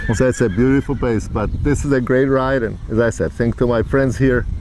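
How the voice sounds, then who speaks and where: Noticeable background noise sits under the recording. A man speaks at a moderate pace. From Czech Republic, Prague. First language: Czech. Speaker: psychologist, trail rider. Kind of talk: casual interview.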